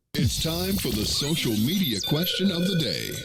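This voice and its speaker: A man performs a booming, put-on character voice at a fairly high pitch and a moderate pace, with very wide pitch swings. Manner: booming, announcer-style.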